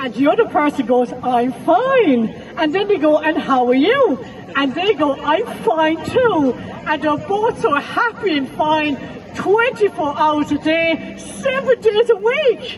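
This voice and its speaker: Against crowd noise in the background, a woman with an Irish accent speaks fairly slowly at an extremely high pitch, with very wide pitch swings. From west of Ireland. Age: 50s. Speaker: comedian and mental health counsellor. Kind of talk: stand-up. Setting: festival stage with audience. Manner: animated.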